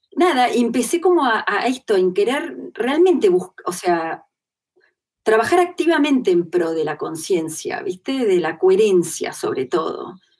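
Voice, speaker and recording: Her voice is high and swings very widely in pitch. The woman speaks at a fairly slow pace. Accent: Rioplatense. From Argentina. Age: 40s. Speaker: interviewee sharing personal spiritual experience. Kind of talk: testimony in interview.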